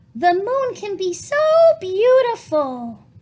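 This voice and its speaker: Her put-on character voice is squeaky and extremely high, and the woman swings her pitch very widely. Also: fairly slow pace. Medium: read story.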